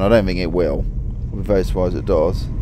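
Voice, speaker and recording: Noticeable background noise surrounds a man talking at a fairly quick pace, in a dry sound with no echo. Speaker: driver vlogger. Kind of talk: casual vlog chat. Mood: relaxed, content. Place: car.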